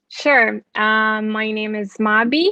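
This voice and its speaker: A bright, sharp tone in a Portuguese accent, dry and close with no echo, over a quiet background. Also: woman. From Brazil. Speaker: fashion brand founder. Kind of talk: panel discussion.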